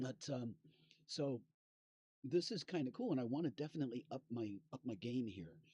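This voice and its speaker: A man with a dark, mellow, somewhat breathy tone speaks at medium pitch with lively intonation. He leaves long, frequent pauses, and the sound is dry and close with no echo. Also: moderate pace. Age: 60s. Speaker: musician and fiddler streaming live. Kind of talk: casual live stream chat. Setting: live stream from inside an RV. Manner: halting, many fillers and repeats.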